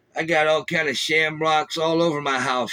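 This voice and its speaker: A man with a Southern US accent, a fairly high pitch, a bright, sharp tone and a moderate pace, in a dry, close sound with no echo. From US South. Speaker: former prisoner, podcast host. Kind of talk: casual monologue. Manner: casual, halting with fillers.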